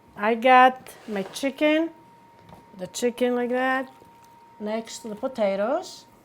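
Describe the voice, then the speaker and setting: Speaking very slowly in a Greek accent, the voice pauses long and often, shows ordinary pitch variation, and swings widely in loudness. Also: woman, high pitch for a woman. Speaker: home cook. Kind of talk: cooking tutorial to camera.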